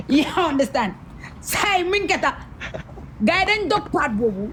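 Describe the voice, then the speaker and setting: Over noticeable background noise, a woman talks at a moderate pace in a high pitch that swings very widely. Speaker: social media influencer. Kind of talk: interview storytelling. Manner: halting.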